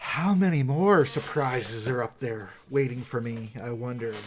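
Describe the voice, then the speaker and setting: A man puts on a growling character voice. He speaks at a moderate pace with a medium pitch. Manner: snarling, menacing.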